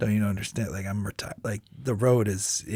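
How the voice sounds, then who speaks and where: A man with a medium pitch talks at a fairly quick pace, sounding somewhat breathy. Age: 30s. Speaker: touring musician and singer. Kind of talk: casual chat. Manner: casual, halting with filler words.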